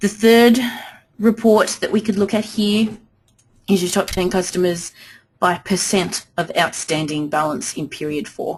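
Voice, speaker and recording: Here a woman speaks with a medium pitch and ordinary pitch variation. Her voice is somewhat breathy, and her pace is fairly slow. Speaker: software trainer. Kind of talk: webinar tutorial. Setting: webinar.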